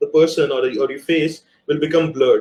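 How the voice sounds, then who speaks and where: With fairly even intonation, a man speaks at a high pitch. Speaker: multimedia producer giving a workshop. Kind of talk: live workshop talk. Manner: fast; hesitant, many fillers.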